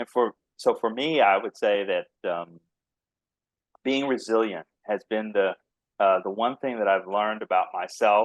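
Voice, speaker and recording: A man's fairly slow, fairly low-pitched speech with a slight Texas accent, long and frequent pauses, ordinary pitch variation, a quiet background, and dry, close sound with no echo. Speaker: biotech company founder and CEO. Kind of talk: podcast interview.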